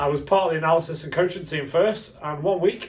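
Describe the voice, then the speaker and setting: There is noticeable background noise as a man talks at a very fast pace with ordinary pitch variation. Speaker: stadium announcer. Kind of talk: casual interview.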